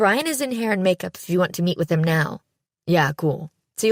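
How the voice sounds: A natural reading voice with lively intonation over a quiet background.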